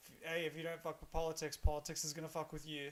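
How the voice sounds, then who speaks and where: The speaker is a man with an Australian accent. His pitch sits fairly high. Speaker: streamer and comedian. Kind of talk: casual gaming livestream chat. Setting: livestream while gaming.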